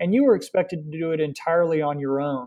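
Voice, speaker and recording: A man with an American accent and an ordinary speaking voice, fairly high in pitch, with fairly even intonation at a moderate pace. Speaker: cycling event organizer. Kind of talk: interview.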